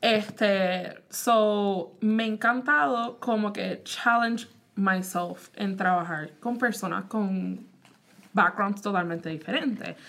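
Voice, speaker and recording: At a very slow pace, a woman speaks at medium pitch with ordinary pitch variation. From Puerto Rico. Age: 20s. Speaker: podcast host. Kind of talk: casual chat.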